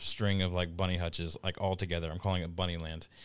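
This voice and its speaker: This man's voice is very deep and low, delivered in a flat monotone. He talks at a very fast pace over a quiet background. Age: 30s. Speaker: podcast co-host. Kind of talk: casual chat.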